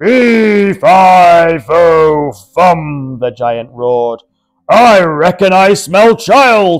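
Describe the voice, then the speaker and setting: A man bellows in a put-on character voice, high in pitch. He goes at a very slow pace. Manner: roaring.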